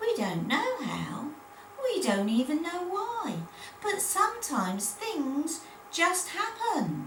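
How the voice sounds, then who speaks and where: In a put-on character voice, a woman speaks very slowly at an extremely high pitch with very wide pitch swings, with a slight echo and clear background noise. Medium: read story.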